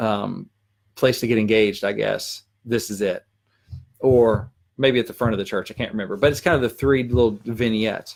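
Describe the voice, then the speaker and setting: A man speaks with a Southern US accent at a medium pitch. His intonation stays fairly even. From Arkansas. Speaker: country songwriter. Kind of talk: live stream Q&A. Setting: live video stream. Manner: fast.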